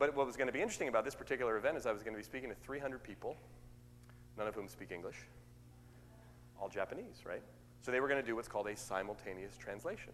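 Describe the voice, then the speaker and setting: Talking at a very fast pace, a man with an American accent shows ordinary pitch variation and vocal fry. He leaves long, frequent pauses. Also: medium pitch for a man. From US West Coast, Oakland, California. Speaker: motivational speaker. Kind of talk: sermon. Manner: extemporaneous, conversational.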